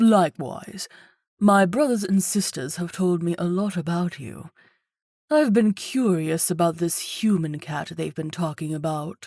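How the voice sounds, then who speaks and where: A put-on character voice sits at a middle pitch. The pace is moderate. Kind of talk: posh, refined. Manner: polite, curious, charming.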